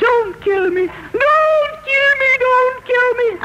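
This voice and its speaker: A female-sounding put-on character voice speaks at an extremely high pitch. The pace is very slow, with light background noise. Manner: pleading, desperate.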